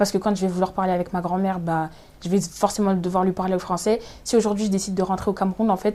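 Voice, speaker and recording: Her tone is dark and mellow at a medium pitch. The woman speaks at a very fast pace with monotone, flat intonation. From France, Évry-Courcouronnes (Essonne). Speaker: law student. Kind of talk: interview conversation.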